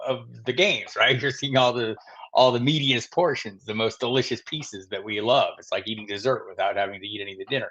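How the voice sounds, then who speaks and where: Here is a man with a normal speaking voice and an American accent. His pitch is medium, with ordinary pitch variation. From Arizona, US (Tucson). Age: 60s. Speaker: fantasy football analyst. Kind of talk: live stream Q&A. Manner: casual, conversational with fillers.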